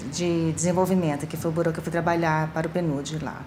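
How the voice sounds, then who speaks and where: A woman speaks with a Brazilian accent in a fairly low pitch. Audible room echo surrounds her voice. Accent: Brazilian Portuguese, clearly noticeable. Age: middle-aged. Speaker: UN official. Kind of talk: documentary interview.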